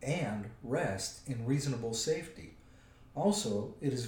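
What comes through is a natural reading voice.

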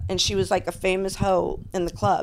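This woman's voice has vocal fry. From Florida (Tampa area), of Cuban and Puerto Rican parents. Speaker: adult industry veteran, former stripper. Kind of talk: casual chat.

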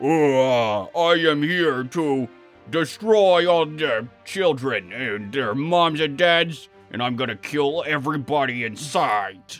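A man uses a put-on character voice at a fairly high pitch. He talks at a very slow pace over faint background music. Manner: menacing, threatening.

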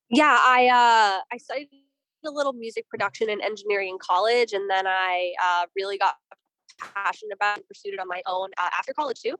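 A woman in an unremarkable speaking voice talks at a fairly quick pace and medium pitch with ordinary pitch variation, the sound dry and close with no echo. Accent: American. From Boston, US. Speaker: punk band musician. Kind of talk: casual interview.

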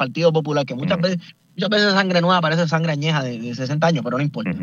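Man with a high pitch and lively intonation. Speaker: podcaster, political commentator. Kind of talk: radio panel discussion. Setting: in a car.

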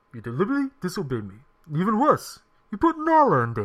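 This is a put-on character voice at a middle pitch. It moves at a very fast pace. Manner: stern, disapproving.

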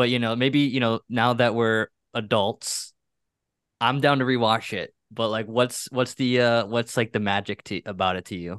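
Medium pitch, fairly even intonation and a moderate pace in a man's normal speaking voice. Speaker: podcast co-host. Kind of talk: casual chat.

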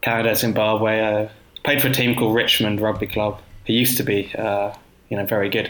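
With a southern English accent, a man talks at a fairly low pitch and a fairly quick pace, his intonation monotone and flat. His loudness stays very even over noticeable background noise. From South London, Croydon. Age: 30s. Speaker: cycling writer. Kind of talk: casual interview.

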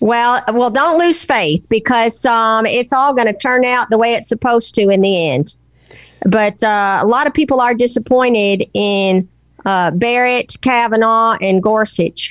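Against a quiet background, a woman with a Southern US accent speaks at a fairly slow pace in a fairly high voice, her loudness very even. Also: ordinary pitch variation. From Nashville, Tennessee. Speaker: political commentator guest. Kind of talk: angry rant about politics.

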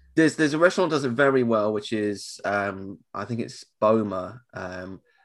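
With an English accent, a man speaks at fairly low pitch with lively intonation. The recording is very clean, with a silent background. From England. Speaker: podcast host. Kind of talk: casual chat. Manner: fast.

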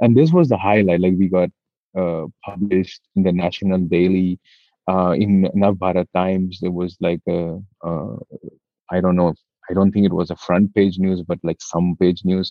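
A man talks at a moderate pace with a very deep, low pitch. His intonation stays monotone and flat. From India. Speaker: business manager. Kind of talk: interview. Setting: studio.

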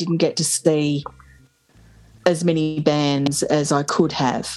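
Her voice sits very deep and low for a woman. This woman talks in an Australian accent. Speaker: podcast host. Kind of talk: casual chat.

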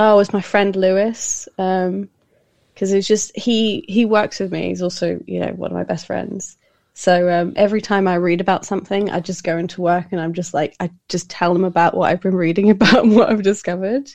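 A woman with a British accent and a medium pitch talks at a fairly quick pace with fairly even intonation over a quiet background. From UK. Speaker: podcaster. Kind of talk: casual interview chat. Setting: remote call.

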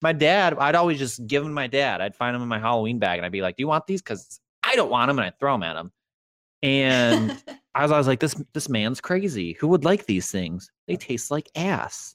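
A man at a fairly quick pace, with very wide pitch swings and a dry, close sound with no echo. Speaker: podcast host. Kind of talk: casual chat. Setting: live online stream. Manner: animated.

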